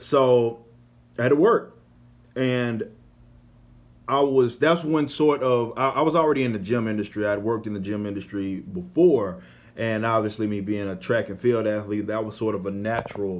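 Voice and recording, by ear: A man with an American accent, fairly low in pitch, at a moderate pace with fairly even intonation.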